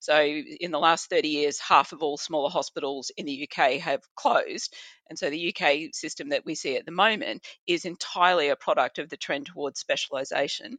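A woman talks at a fairly quick pace in an Australian accent. The sound is dry and close with no echo, over a quiet background. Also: big swings in loudness. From rural Australia. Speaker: physician and health policy researcher. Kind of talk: podcast interview.

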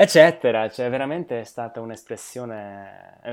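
Fairly slow, medium-pitched male speech with ordinary pitch variation. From southern Slovakia. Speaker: polyglot. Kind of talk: interview. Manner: halting.

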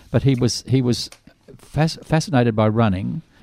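A man with an Australian accent speaks at a medium pitch with lively intonation on a very clean recording with a silent background. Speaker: radio host. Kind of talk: casual chat. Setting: studio.

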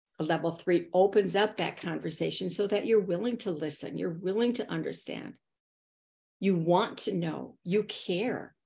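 A woman's medium-pitched voice with a dark, mellow tone and vocal fry, ordinary pitch variation and a moderate pace, on a very clean recording with a silent background. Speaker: author and consultant. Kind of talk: interview conversation.

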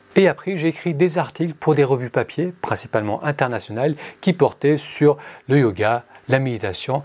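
A man with an unremarkable speaking voice talks at a moderate pace and a fairly high pitch, his intonation lively. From France. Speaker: meditation podcaster. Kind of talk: scripted narration.

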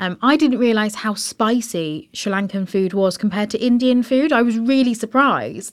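Over a very clean recording with a silent background, a woman with an unremarkable speaking voice talks fairly quickly at a fairly high pitch and ordinary pitch variation. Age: 30s. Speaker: podcast host. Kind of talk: casual interview. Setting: podcast studio in London.

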